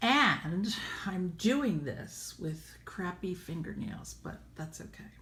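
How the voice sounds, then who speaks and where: Speaking very slowly, a woman talks with an American accent. Her loudness swings widely. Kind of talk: casual app tutorial demo.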